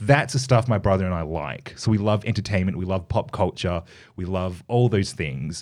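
Australian-accented, this man's voice is very deep and low, with lively intonation. The recording is very clean, with a silent background. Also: moderate pace. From Australia, Perth. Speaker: radio host and dancer. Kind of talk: casual interview.

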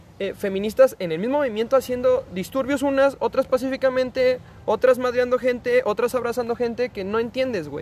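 In a Mexican accent, a man talks at a fairly quick pace with an extremely high pitch, ordinary pitch variation and hardly any pauses. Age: 20s. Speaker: podcast guest. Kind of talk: casual chat.

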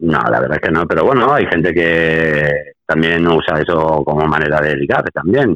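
This man's very deep, low voice moves at a moderate pace with very even loudness and hardly any pauses. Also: ordinary pitch variation. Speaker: podcast co-host. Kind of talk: casual chat. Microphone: poor connection, weak signal.

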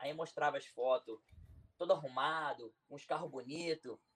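In a normal speaking voice, a man talks at a moderate pace. His fairly high pitch shows ordinary variation. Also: big swings in loudness. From Brazil, Nova Iguaçu (Rio de Janeiro). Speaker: YouTuber and businessman. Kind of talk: interview, life story. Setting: live stream.

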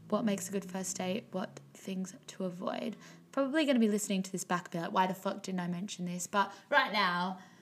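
A woman talks at a medium pitch with ordinary pitch variation. Her voice is somewhat breathy. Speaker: podcast host. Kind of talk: casual monologue. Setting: studio. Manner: casual, filler-heavy.

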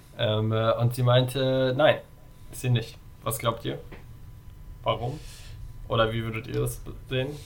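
A man at a fairly slow pace, with long, frequent pauses and big swings in loudness, amid noticeable background noise and audible room echo. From Germany, Darmstadt. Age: 20s. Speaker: volunteer in youth political organization. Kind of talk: casual chat.

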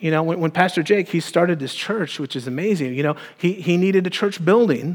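This man talks very fast. He has a high voice. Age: 40s. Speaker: pastor. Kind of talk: sermon.

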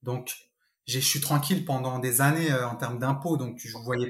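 A somewhat breathy man at a fairly slow pace, his intonation fairly even. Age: 30s. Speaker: real estate investor. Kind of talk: interview.

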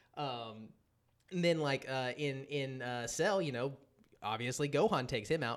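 The speaker is a man with a normal speaking voice at medium pitch. He talks at a moderate pace with ordinary pitch variation. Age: 30s. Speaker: podcast host. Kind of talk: casual chat.

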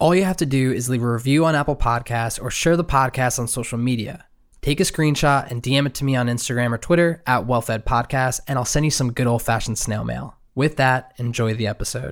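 In a very clean recording with a silent background, a man with an American accent speaks in a plain, everyday voice at a medium pitch and a fairly quick pace, with ordinary pitch variation. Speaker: podcast host. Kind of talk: casual interview.

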